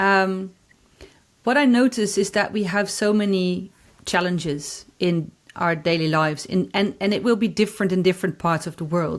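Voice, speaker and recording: With a Dutch accent, a woman speaks at a moderate pace in a medium pitch, her pitch varying in an ordinary way. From Netherlands. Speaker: corporate anthropologist. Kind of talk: podcast interview. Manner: halting, many repetitions.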